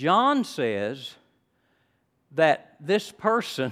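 The recording is very clean, with a silent background. A man is speaking. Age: 70s. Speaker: retired pastor, guest preacher. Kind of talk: sermon. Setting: church service with congregation. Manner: halting, frequent repetitions and fillers.

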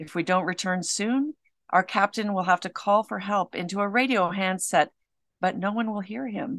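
A woman speaks in an ordinary speaking voice at medium pitch, with ordinary pitch variation and a moderate pace, recorded dry and close with no echo against a quiet background. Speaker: cave diver and author. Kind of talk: dramatic first-person narration reading her own memoir. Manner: intense, gripping, suspenseful, measured.

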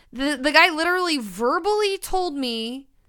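Projecting a raised voice, a woman talks at a fairly slow pace with very wide pitch swings and a bright, sharp tone on a very clean recording with a silent background. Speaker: podcast co-host. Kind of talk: casual chat. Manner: loud; energetic.

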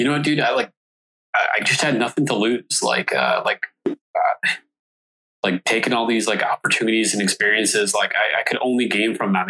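A man at a fairly quick pace, fairly low in pitch, bright and sharp in tone with a slightly husky edge, in a dry, close sound with no echo

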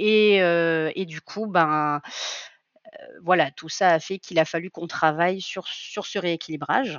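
Big swings in loudness mark a woman's very slow speech, delivered with fairly even intonation. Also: fairly low pitch for a woman. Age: 30s. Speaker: coaching client, amateur lifter. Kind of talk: testimony. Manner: hesitant, many fillers.

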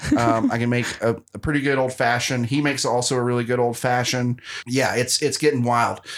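A man at a medium pitch, flat and monotone, moving at a fairly quick pace. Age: 30s. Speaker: podcast host and comedian. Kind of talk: casual chat.

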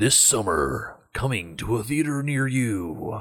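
Using a put-on character voice with a dramatic tone, a man speaks at a medium pitch and a fairly slow pace. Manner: epic, dramatic.

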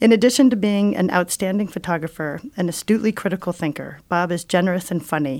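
A woman with a normal speaking voice talks at a fairly low pitch and a fairly quick pace, with ordinary pitch variation, on a very clean recording with a silent background. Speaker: museum director and podcast host. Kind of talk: interview conversation. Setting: radio station studio.

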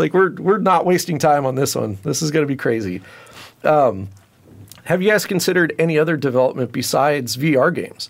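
Using a normal speaking voice with an American accent, a man talks at a fairly quick pace with lively intonation and fairly high pitch. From California Central Valley. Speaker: podcast host. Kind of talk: casual interview.

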